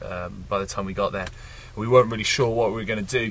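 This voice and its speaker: Noticeable background noise fills the recording. A man is talking through it. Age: 20s. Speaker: record-breaking traveller. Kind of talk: interview.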